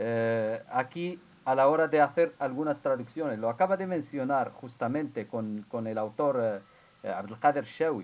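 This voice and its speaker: The speaker has an Arabic accent and lively intonation. The pace is moderate. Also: man. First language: Arabic (speaking Spanish). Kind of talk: academic Q&A in a seminar. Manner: halting, many fillers and repetitions.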